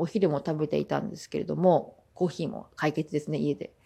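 Against a quiet background, a woman with vocal fry speaks at a fairly low pitch in a dark, mellow tone. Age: 20s. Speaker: podcast host. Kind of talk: casual monologue.

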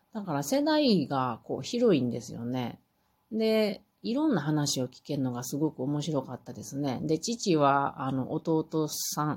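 A woman with a very deep, low pitch talks in a relaxed tone at a fairly slow pace, her pitch swinging very widely. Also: big swings in loudness. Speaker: podcaster. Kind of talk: solo monologue.

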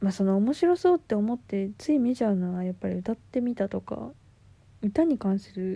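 At a moderate pace, a woman speaks in a medium pitch with a somewhat breathy, dark, mellow tone. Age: 20s. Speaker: podcaster. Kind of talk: casual monologue. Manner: casual, laughing.

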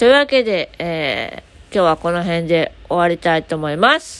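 A woman with a plain, everyday voice talks at a moderate pace. Her intonation is lively, and her loudness swings widely. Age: 20s. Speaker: podcaster; aspiring support worker. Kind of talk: casual solo talk.

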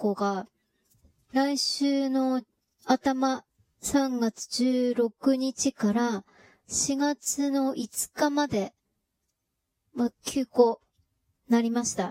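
A woman's high-pitched voice at a very slow pace, in dry, close sound with no echo. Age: middle-aged. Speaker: podcaster. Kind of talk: casual monologue. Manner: chatty, filler-heavy.

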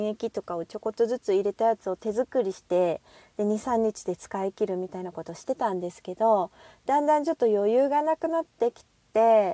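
A woman with a fairly high pitch and a dark, mellow tone speaks with lively intonation and big swings in loudness, in a dry, close sound with no echo. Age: 40s. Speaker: single-mother podcaster. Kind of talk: casual monologue.

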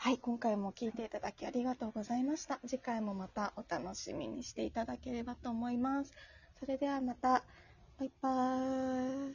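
A woman with a high voice keeps her intonation fairly even at a moderate pace. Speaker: podcast host, magazine editorial staff. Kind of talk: casual chat. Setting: home, remote recording.

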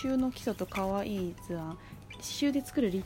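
Over background music, a woman speaks with lively intonation. Her pace is moderate. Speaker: solo podcaster. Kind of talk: casual monologue. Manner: halting.

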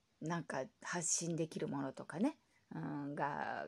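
A woman speaks with vocal fry. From Japan. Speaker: podcaster. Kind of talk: solo casual talk.

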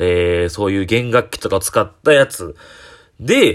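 A man with a Kyoto accent swings his pitch very widely on a very clean recording with a silent background. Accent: Kansai (Kyoto) Japanese. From Japan, Kyoto (Shijo-Omiya). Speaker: comedian. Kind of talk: solo talk podcast monologue. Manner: casual, many filler pauses.

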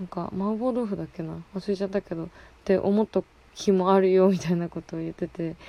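A woman talks at a fairly quick pace in a medium pitch. Her tone is dark and mellow, and her intonation stays fairly even. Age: 20s. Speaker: podcast host. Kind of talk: casual monologue. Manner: casual, frequent laughter.

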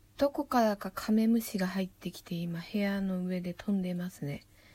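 A woman speaks at a moderate pace and a medium pitch. Her tone is relaxed, dark and mellow, and somewhat breathy. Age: 30s. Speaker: poet. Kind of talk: casual monologue. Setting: at home in her room. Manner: relaxed, rambling.

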